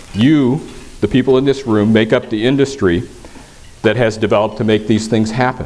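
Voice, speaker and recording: Male speech at a moderate pace, noticeable background noise behind it. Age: 60s. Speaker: government environmental official. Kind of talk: conference speech. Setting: stage with audience. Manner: hesitant, many fillers and repeats.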